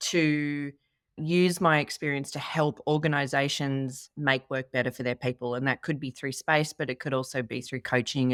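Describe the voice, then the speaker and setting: A woman with an Australian accent speaks in a very deep, low pitch with fairly even intonation at a moderate pace. The very clean recording has a silent background and a dry, close sound with no echo. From Australia, Sydney. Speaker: workplace consultant. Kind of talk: casual chat.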